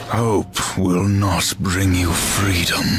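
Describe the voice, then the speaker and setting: With clear music behind him, a man puts on a character voice pitched very deep and low. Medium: short film. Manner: terse, grim.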